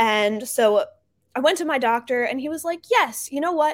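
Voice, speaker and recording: In an American accent, a woman talks at a moderate pace in an ordinary speaking voice. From New Jersey. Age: 20s. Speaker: startup founder. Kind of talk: interview.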